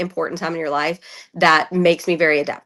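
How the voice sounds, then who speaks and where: A woman's fairly low, bright and sharp voice with a Southern US accent, delivered at a very fast pace against a quiet background. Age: 30s. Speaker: reality TV contestant and podcaster. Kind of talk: casual interview chat.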